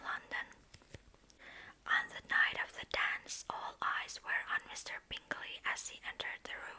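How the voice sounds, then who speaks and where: The voice whispers at a fairly slow pace. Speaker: ASMR creator. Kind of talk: ASMR book reading. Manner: soft-spoken, whispered.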